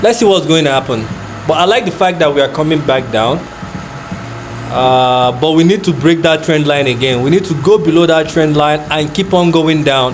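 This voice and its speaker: A man with a Nigerian accent speaks at a fairly high pitch and moderate pace, with ordinary pitch variation and very even loudness. Noticeable background noise and audible room echo are present. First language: not English; Nigerian language. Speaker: forex trader. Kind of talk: live trading commentary. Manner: casual, thinking aloud with fillers.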